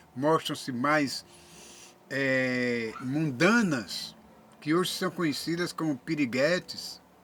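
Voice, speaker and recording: Speaking at a very slow pace, a man uses lively intonation in a fairly high pitch with a bright, sharp tone. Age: 70s. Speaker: YouTuber. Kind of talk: monologue to camera. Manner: halting.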